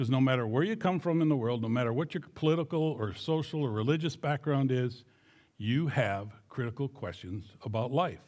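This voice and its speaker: A plain, everyday voice speaks in an American accent at a fairly quick pace with ordinary pitch variation. The recording is very clean, with a silent background. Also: man. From southern Minnesota. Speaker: missionary. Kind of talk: church mission presentation.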